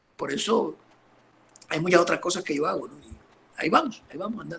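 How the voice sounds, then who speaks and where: At a very fast pace, a man speaks with high pitch, a bright, sharp tone, ordinary pitch variation and big swings in loudness. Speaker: pastor. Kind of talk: interview on church history.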